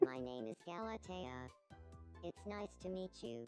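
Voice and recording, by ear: A put-on character voice at a low-to-middle pitch, with very wide pitch swings, a fairly slow pace and faint music in the background.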